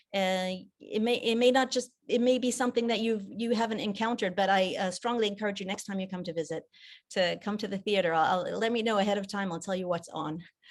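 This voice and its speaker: Speaking very fast with an American accent, a woman uses a medium pitch and ordinary pitch variation. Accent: American accent by default. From mixed: Japan, South Africa, England. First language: French. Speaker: theater director. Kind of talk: interview. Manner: halting, repeats words.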